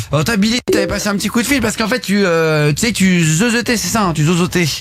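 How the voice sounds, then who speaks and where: Over noticeable background noise, a man with a high pitch talks at a very fast pace, his loudness very even and his pitch varying normally. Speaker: radio host. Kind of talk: casual live radio talk show. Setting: radio studio. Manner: animated.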